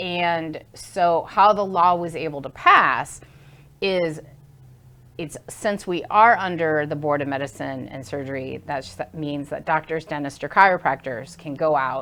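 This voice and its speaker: A woman talks at a fairly slow pace in a very deep, low pitch with ordinary variation. Her tone is bright and sharp, and her loudness swings widely. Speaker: acupuncturist. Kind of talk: interview.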